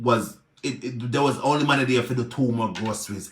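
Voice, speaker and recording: Speaking in a Jamaican accent, a man has an animated, bright, sharp tone at a medium pitch. His pace is fairly quick. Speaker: social media personality, charity helper. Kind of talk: live video rant.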